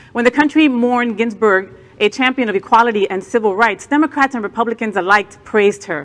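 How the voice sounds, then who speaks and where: Amid noticeable background noise, a woman with an American accent talks at a fairly high pitch and a fairly quick pace with lively intonation. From New Jersey. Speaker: news co-anchor and drag performer. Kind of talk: news reading.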